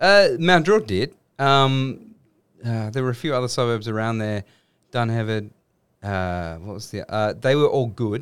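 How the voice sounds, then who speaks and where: A man with an Australian accent talks at a fairly slow pace, medium pitch and lively intonation. The recording is very clean, with a silent background. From Western Sydney, Australia. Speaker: filmmaker. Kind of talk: casual chat. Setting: studio.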